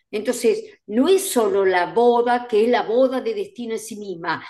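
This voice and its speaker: This woman has a high-pitched voice with a dark, mellow tone. The background is quiet. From Argentina. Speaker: events industry educator and co-host; events industry educator, co-host. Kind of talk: casual chat. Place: home room. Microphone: video call.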